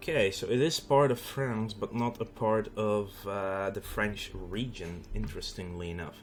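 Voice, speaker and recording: A man's fairly low voice in a Dutch accent, fairly slow with hardly any pauses, ordinary pitch variation, and noticeable background noise. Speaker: video game streamer. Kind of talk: gameplay commentary. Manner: casual, conversational.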